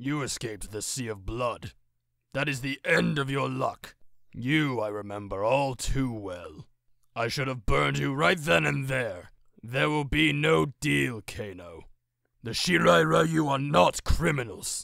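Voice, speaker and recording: A voice is put on to play a character. The delivery is fairly slow. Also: man, medium pitch for a man. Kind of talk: video game character voice.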